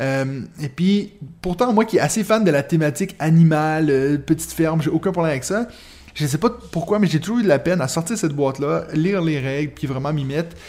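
With a Quebec accent, the speaker moves at a fairly quick pace and varies pitch in an ordinary way. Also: man, fairly high pitch for a man. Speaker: podcast host. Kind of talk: casual chat.

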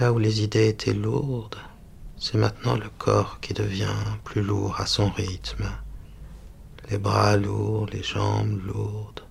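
A soothing, calm tone at a very slow pace, broken by long, frequent pauses. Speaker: hypnotherapist. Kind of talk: guided hypnosis meditation. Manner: slow, soothing, calm, hushed and hypnotic; gentle, steady, dreamy repetition.

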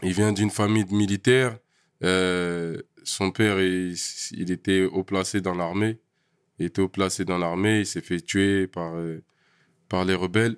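Over a very clean recording with a silent background, a man with a very deep, low voice speaks at a fairly slow pace in a monotone, flat delivery with long, frequent pauses, the sound dry and close with no echo. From Paris region, France (Val d'Oise, Essonne). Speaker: rapper and producer. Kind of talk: casual chat.

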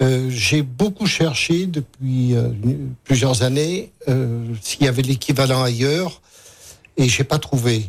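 Speaking at a very slow pace with long, frequent pauses, this somewhat breathy voice keeps very even loudness and ordinary pitch variation. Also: man, medium pitch for a man. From Cantal, Auvergne. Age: old. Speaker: retired journalist and farmer. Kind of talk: radio interview.

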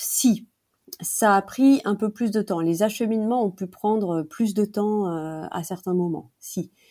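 A woman's medium-pitched voice, very slow pace and ordinary pitch variation, on a very clean recording with a silent background. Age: 40s. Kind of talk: interview. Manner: hesitant, many fillers.

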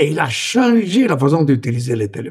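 A man's pitch swings very widely at a fairly slow pace. His voice is somewhat breathy. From Italy. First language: Italian (speaking French). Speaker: former tech executive. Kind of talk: interview. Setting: remote from home.

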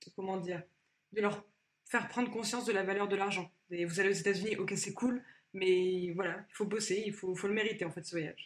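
Delivered fairly quickly, the speech keeps a fairly even intonation. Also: woman, medium pitch for a woman. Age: 20s. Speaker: former employee sharing her story. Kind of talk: testimony. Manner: halting.

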